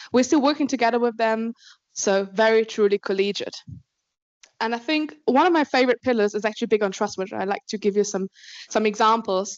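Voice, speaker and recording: Speaking at a fairly quick pace with an Austrian accent, a woman uses a fairly high pitch with ordinary pitch variation. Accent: non-British, Austrian. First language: German. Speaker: alumni program manager at a law firm. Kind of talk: conference talk.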